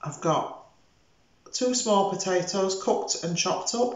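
A woman talks at a fairly slow pace, her voice carrying audible echo from the room. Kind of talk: tutorial. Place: kitchen. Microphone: camera far.

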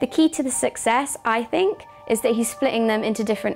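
A woman at a fairly quick pace with ordinary pitch variation, faint music in the background. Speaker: presenter. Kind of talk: presenter commentary. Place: office. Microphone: lapel.

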